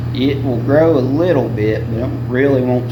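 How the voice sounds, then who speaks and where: Over noticeable background noise, a man with a North Carolina accent speaks at a moderate pace in a medium pitch. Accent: Southern, rural North Carolina. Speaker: farmer. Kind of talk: interview answer. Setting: outdoors.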